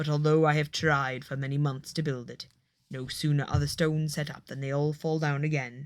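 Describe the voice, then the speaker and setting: A put-on character voice with a stern tone sits at a low-to-middle pitch in a monotone, flat intonation. It moves at a fairly quick pace in a very clean recording with a silent background. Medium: read story. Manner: heavy, stern.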